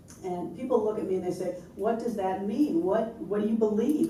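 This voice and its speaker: A woman with an American accent at a moderate pace, ordinary pitch variation, audible room echo and noticeable background noise. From US, New York. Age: 60s. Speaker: interfaith minister and lawyer. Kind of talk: panel discussion.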